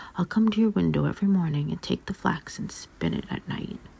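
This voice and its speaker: A man whispers at a moderate pace. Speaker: ASMR artist. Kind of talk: sleep story. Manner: whispered.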